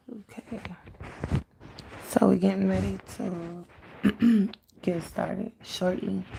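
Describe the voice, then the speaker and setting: Over noticeable background noise, the speech comes at a very slow pace with long, frequent pauses. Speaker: spiritual medium. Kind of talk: live stream spiritual reading.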